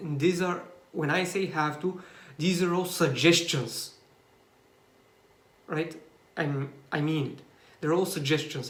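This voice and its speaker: Someone with a Bulgarian accent talks at a very slow pace with fairly even intonation. Audible room echo surrounds the voice. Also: man. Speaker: YouTuber. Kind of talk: personal vlog monologue. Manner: halting, many fillers and restarts.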